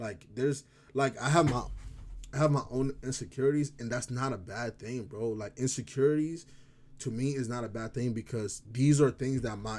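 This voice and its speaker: A man's medium-pitched voice with an African accent, moderate pace and fairly even intonation. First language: African language. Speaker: vlogger. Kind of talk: casual vlog talk. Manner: halting, stumbles over words.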